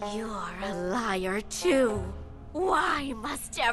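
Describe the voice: What is heard here is plain reading aloud.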